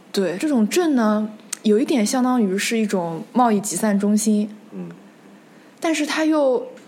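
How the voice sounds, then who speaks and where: A woman at a fairly slow pace with long, frequent pauses, fairly high pitch and lively intonation, over noticeable background noise. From Nanjing, Jiangsu, China. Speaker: history podcast host. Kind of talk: casual discussion.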